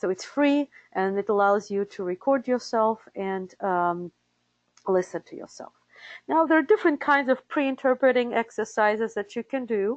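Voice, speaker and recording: A speaker with a Russian accent talks at a moderate pace, the intonation lively. Loudness swings widely from moment to moment. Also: woman, fairly high pitch for a woman. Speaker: interpreter certification director. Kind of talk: webinar presentation. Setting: live webinar. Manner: hesitant with fillers.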